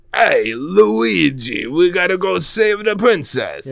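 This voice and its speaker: The man's put-on character voice is high in pitch. His pace is fairly slow. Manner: cartoonish, cheery.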